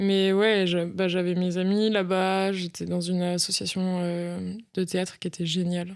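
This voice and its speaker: A woman's flat, monotone voice at a fairly slow pace with hardly any pauses, on a very clean recording with a silent background. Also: medium pitch for a woman. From France, Isère near Lyon (Rhône-Alpes), then Narbonne from 14. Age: 30s. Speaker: actress and improv theatre teacher. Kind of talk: podcast interview. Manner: casual, hesitant with many fillers.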